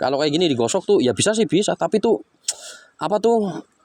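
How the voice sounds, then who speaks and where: An animated tone with very wide pitch swings comes through in a dry, close sound with no echo. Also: man. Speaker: rock-hunting vlogger. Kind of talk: outdoor vlog narration. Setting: outdoors by a river.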